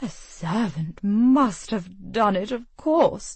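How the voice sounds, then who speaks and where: A woman puts on a character voice at a medium pitch, with very wide pitch swings. She speaks at a very slow pace. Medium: read story. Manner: cold, haughty.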